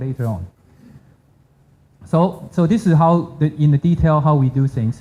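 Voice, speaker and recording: Ordinary pitch variation marks a man's fairly high voice, dark and mellow in tone, with a Chinese accent. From China. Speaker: hackathon team member presenting a demo. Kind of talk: product demo pitch. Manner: halting.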